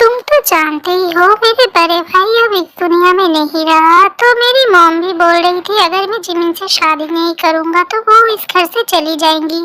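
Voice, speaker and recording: A woman's put-on character voice at an extremely high pitch, moderate pace and ordinary pitch variation. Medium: fan dub. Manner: defensive, irritable.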